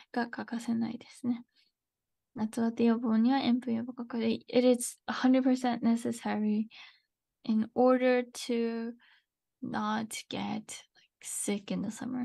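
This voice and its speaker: Against a quiet background, a woman with a dark, mellow tone speaks very slowly in a flat monotone, pausing long and often as her loudness swings widely. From USA. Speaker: Japanese language teacher. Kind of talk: live-streamed language lesson. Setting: live stream. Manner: casual, chatty, switches between Japanese and English. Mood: cheerful, relaxed. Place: home room.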